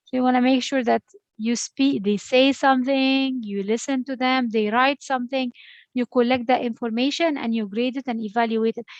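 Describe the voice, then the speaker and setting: A woman with an Arabic accent speaks at a high pitch and a moderate pace. Her intonation is fairly even, and the sound is dry and close with no echo. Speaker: education lecturer. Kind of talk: online lecture.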